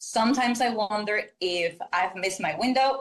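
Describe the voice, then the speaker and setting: This woman has a fairly high pitch and a Spanish accent. Her intonation is lively. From Mexico. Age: 20s. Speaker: caller. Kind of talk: reading aloud.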